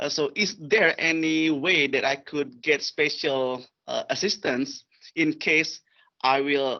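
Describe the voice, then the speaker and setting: Speaking at a fairly slow pace, a man has an Indonesian accent. His intonation is fairly even. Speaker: parent, doctoral student. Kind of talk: question at parent meeting. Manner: halting.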